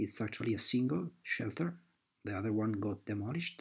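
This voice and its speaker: Here a man speaks with a non-native accent at a moderate pace. His voice is somewhat breathy, his intonation lively. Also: very clean recording, silent background. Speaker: amateur map analyst. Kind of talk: screen-recorded map explanation. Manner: hesitant, with frequent fillers.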